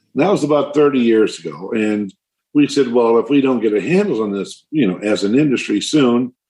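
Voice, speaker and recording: A man speaks with an American accent. His tone is dark and mellow, and his intonation is lively. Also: medium pitch for a man. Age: 70s. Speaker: tree nursery owner, conservationist. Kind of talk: interview.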